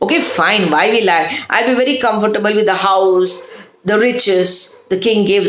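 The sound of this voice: The reading comes in an unforced reading voice.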